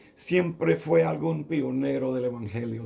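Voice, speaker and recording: A man speaks with a dark, mellow tone. Audible room echo surrounds his voice. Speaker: pastor. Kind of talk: sermon. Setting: radio broadcast. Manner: halting, with fillers.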